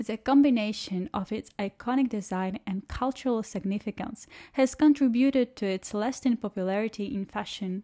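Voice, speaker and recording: A woman with a non-native accent speaks at a moderate pace with a dark, mellow tone and a fairly high pitch with ordinary variation. The recording is very clean, with a silent background. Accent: noticeable non-native English. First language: not English. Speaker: shoe reviewer and channel host. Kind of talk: scripted narration with unboxing review.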